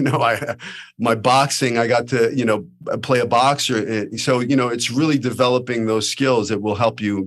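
A man speaking at a moderate pace, his pitch medium. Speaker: podcast host and acting teacher. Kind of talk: interview. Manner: animated.

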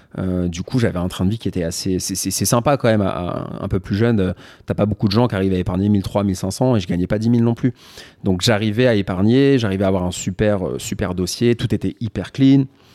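A man's fairly low voice with a dark, mellow tone. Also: ordinary pitch variation, fairly quick pace. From Paris and Val-d'Oise, France. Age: 30s. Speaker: entrepreneur and watch content creator. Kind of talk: casual interview chat.

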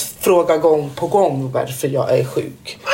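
Noticeable background noise surrounds this woman as she talks. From Guinea. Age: 30s. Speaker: assistant nurse. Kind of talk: casual chat.

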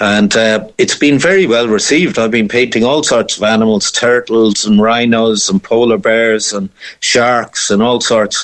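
A man with a Cork accent speaks at a medium pitch and a moderate pace, with ordinary pitch variation, very even loudness and hardly any pauses. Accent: Cork Irish. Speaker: painter. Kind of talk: interview.

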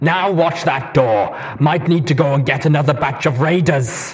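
A man puts on a robotic character voice at a fairly high pitch. He talks at a moderate pace. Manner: menacing, gloating.

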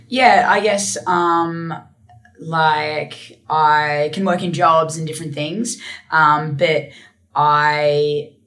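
Husky and low-pitched, a woman speaks at a very slow pace with a fairly bright tone and fairly even intonation.

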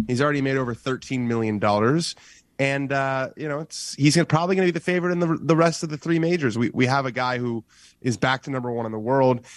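A man speaks in a plain, everyday voice. It sits at a medium pitch with ordinary variation. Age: 20s. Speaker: golf writer. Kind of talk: interview.

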